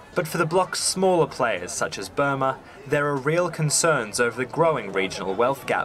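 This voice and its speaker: A man with a fairly high pitch and lively intonation talks at a moderate pace over noticeable background noise. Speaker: news reporter. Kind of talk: scripted news report voiceover. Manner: formal, steady.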